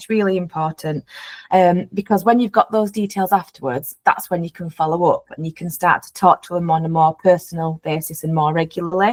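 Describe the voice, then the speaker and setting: The dry, close sound with no echo carries a woman's fairly low voice, moving at a fairly quick pace with fairly even intonation. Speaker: wedding magazine representative. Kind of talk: webinar presentation. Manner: fast.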